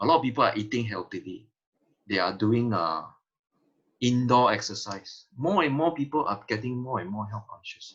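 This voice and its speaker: This man speaks at a medium pitch. His intonation is lively. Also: moderate pace. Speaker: health detox promoter. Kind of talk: sales pitch. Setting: video call. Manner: animated.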